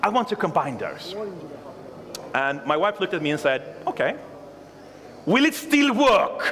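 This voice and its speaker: A man talks with long, frequent pauses, and noticeable background noise is present. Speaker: conference speaker, software developer. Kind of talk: conference talk. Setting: stage with audience. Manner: fast.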